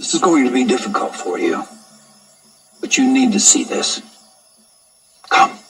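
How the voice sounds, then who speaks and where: In a put-on character voice, a raspy man talks at an extremely high pitch and a moderate pace, with long, frequent pauses. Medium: short film. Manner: grim, terse.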